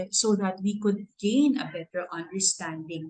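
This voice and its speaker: In a Filipino accent, a woman speaks at a medium pitch with ordinary pitch variation and a somewhat breathy voice. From Philippines. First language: Tagalog. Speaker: award recipient. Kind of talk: speech.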